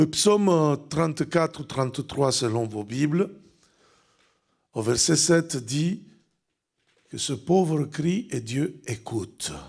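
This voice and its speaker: A man with a fairly high voice speaks at a very slow pace with long, frequent pauses on a very clean recording with a silent background. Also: lively intonation. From Italy. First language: Italian (speaking French). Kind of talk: sermon. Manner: loud; animated.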